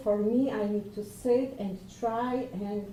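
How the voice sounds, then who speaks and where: A woman's fairly high voice with a non-native accent and fairly even intonation, amid audible room echo and noticeable background noise. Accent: foreign. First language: Polish. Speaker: lecturer. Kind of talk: presentation. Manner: halting.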